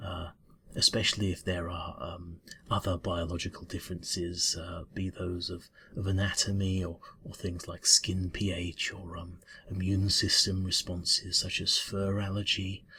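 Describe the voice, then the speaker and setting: Put-on character voice from a man, very deep and low, mumbling at a moderate pace. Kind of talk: ASMR roleplay. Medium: solo performance. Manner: mumbling, hesitant, stammering.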